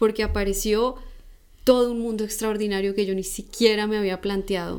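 A woman speaks with a Bogotá accent. Her fairly high voice stays monotone, with flat intonation. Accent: Colombian Spanish (Bogotá). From Colombia, Bogotá. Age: 30s. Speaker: guest sharing spiritual testimony. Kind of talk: personal testimony.

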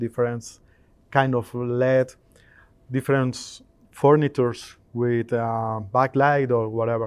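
The speaker uses a Spanish accent and fairly even intonation. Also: man. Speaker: integration company owner. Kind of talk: interview at trade show. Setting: trade show. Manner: halting.

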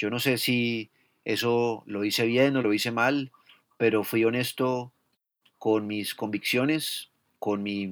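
A man at a medium pitch, very slow and fairly even in intonation, on a very clean recording with a silent background. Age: 40s. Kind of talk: casual conversation.

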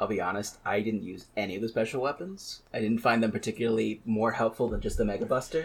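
Talking at a very fast pace, a man sounds somewhat breathy and uses ordinary pitch variation. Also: medium pitch for a man. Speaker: podcast co-host. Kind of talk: casual chat.

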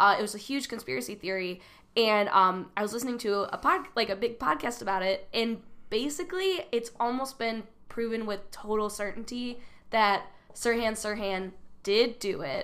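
A woman with an American accent and a normal speaking voice, fairly high in pitch, with lively intonation and a moderate pace. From US Midwest, southwest suburbs of Chicago. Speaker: comedian. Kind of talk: casual chat.

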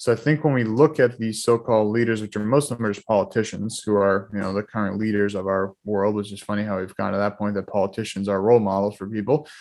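Against a quiet background, a man with a slight Boston accent speaks at a very fast pace with hardly any pauses, a fairly low pitch and fairly even intonation. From Boston area, Massachusetts. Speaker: holistic lifestyle coach. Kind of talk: casual interview chat.

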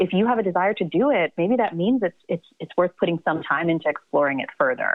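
A woman's medium-pitched voice with an American accent, very fast and lively in intonation. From US South, Atlanta. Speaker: psychiatrist and novelist. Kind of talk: interview.

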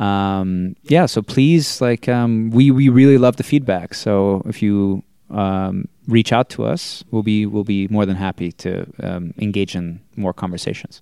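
A man with a Boston accent speaks at a fairly slow pace with hardly any pauses, a fairly low pitch and ordinary pitch variation. The recording is very clean with a silent background and a dry, close sound with no echo. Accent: American (Boston area). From Massachusetts, US. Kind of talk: casual chat.

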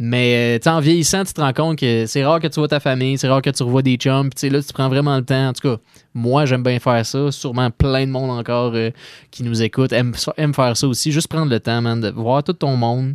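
Recorded dry and close with no echo and a quiet background, a man speaks at a medium pitch. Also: fairly even intonation, fairly quick pace. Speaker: radio co-host. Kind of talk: casual chat. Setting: studio. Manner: jovial, laughs often.

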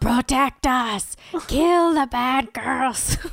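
A female-sounding, put-on character voice growls high in pitch with a menacing tone. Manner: scary, menacing.

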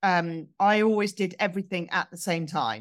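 In a southern English accent, a woman speaks on a very clean recording with a silent background. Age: 40s. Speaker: sober blogger and community leader. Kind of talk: interview conversation. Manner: hesitant, many fillers.

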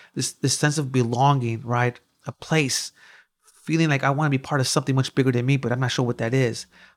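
In a Chicago accent, a man talks very fast at a medium pitch with a monotone, flat intonation, recorded very clean against a silent background with a dry, close sound and no echo. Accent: Chicago American English. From US Midwest, west side of Chicago. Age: 40s. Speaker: violence prevention program director. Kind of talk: interview conversation.

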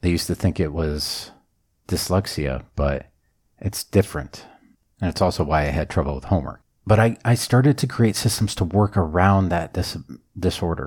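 Lively intonation and vocal fry come through on a very clean recording with a silent background. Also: man, very deep, low pitch for a man, moderate pace. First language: not English. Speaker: self-help podcast host. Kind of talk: solo podcast monologue.

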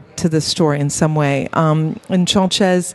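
Against noticeable background noise, a woman with an American accent speaks at a moderate pace with fairly even intonation. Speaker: cellist and composer. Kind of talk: casual chat. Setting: studio.

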